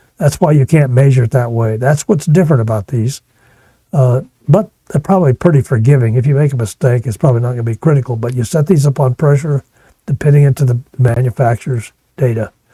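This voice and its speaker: A man with an American accent, medium pitch, a dark, mellow tone, somewhat breathy delivery, ordinary pitch variation and a very fast pace, in a dry, close sound with no echo. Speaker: HVAC test and balance instructor. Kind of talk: technical lecture.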